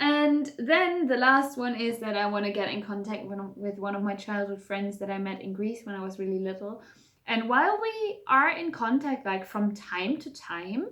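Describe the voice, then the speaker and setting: A woman with a German accent talks at a moderate pace, hardly pausing, with a fairly high pitch and lively intonation. Noticeable background noise and audible room echo are present. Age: 20s. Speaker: vlogger. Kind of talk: casual vlog talk to camera. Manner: casual, with many fillers.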